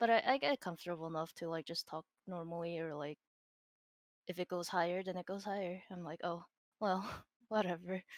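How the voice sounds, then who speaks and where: A soft-spoken woman mumbles at a fairly quick pace and a fairly low pitch, with ordinary pitch variation and long, frequent pauses. The sound is dry and close with no echo, on a very clean recording with a silent background. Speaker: digital artist and streamer. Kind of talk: casual interview chat. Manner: mumbling.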